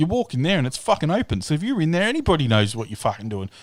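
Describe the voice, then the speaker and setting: With an Australian accent, a man talks at a fairly high pitch, his voice swinging very widely up and down. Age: 30s. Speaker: live-stream host. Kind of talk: casual chat. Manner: animated.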